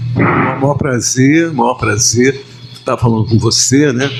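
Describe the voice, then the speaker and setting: This man talks fairly slowly at a medium pitch, with noticeable noise in the background. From Rio de Janeiro. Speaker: musician. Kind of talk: podcast interview answer. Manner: casual, conversational.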